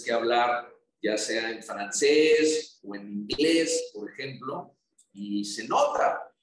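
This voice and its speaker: A man in a Tabasco accent, with very wide pitch swings. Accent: Tabasco accent, noticeable. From Mexico, Tabasco. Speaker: federal congressman. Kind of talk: interview. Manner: reflective.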